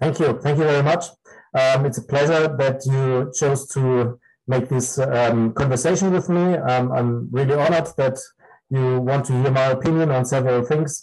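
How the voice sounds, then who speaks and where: A man with a German accent talks at medium pitch and a moderate pace, his intonation fairly even and his loudness very even. Music plays in the background. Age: 50s. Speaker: dog breeder and breed judge. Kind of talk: interview. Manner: halting.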